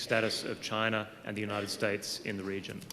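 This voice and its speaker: Speaking fairly quickly, a man talks in an Australian accent. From Australia, Melbourne. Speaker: law professor. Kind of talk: audience question. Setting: lecture hall with audience.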